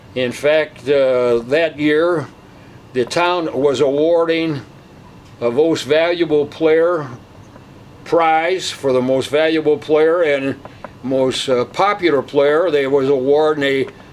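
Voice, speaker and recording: Noticeable background noise sits behind a man with an American accent and a fairly high pitch. He talks at a very slow pace, with very even loudness and fairly even intonation. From US Midwest, St. Louis, Missouri. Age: 80s+. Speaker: retired baseball player. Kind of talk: interview, reminiscing.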